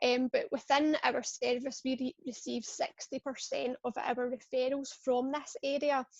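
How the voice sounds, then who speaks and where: A woman's high-pitched voice with fairly even intonation in a dry, close sound with no echo. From Scotland. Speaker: pain service clinician. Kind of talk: webinar presentation. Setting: online webinar.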